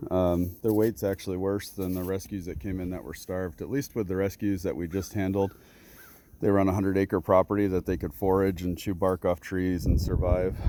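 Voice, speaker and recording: With an American accent and a dark, mellow tone, the speaker moves at a fairly quick pace with fairly even intonation. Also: man, very deep, low pitch for a man. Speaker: animal rescue farm owner. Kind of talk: casual video walkthrough.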